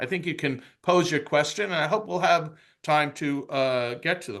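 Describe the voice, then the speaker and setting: A man with a Bronx accent speaks at a fairly high pitch against a quiet background. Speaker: webinar host. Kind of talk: webinar presentation. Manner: reading from script, hesitant fillers.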